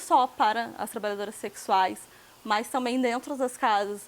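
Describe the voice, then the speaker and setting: A woman's fairly high voice moves at a fairly slow pace, with pitch that varies in an ordinary way. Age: 20s. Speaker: sex worker and activist. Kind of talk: interview.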